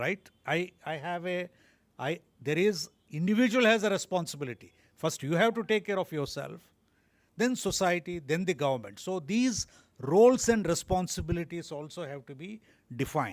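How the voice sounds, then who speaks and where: A high-pitched man at a fairly quick pace, lively in intonation, with long and frequent pauses, on a very clean recording with a silent background. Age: 60s. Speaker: doctor, public health speaker. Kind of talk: presentation at round table meeting. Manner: code-switching Telugu and English.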